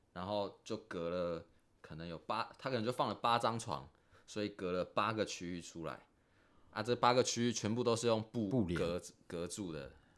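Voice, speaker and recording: Music plays in the background. A man talks at a moderate pace with a fairly low pitch and ordinary pitch variation. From Taiwan. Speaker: expatriate factory worker. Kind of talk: casual chat.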